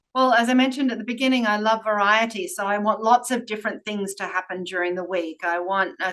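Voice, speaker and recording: Speaking at a very fast pace with hardly any pauses, a woman with an Australian accent talks at a fairly high pitch. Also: ordinary pitch variation. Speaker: workplace strategy executive. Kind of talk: interview.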